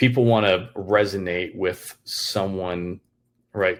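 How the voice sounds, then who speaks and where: A man's monotone, flat delivery on a very clean recording with a silent background. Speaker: filmmaker and Army veteran. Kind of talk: casual chat. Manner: stutters somewhat; hesitant, repetitive.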